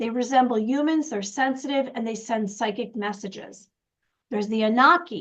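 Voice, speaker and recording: Talking at a fairly quick pace, a woman has a plain, everyday voice at a fairly high pitch with ordinary pitch variation. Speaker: intuitive wisdom coach, show co-host. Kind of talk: casual chat.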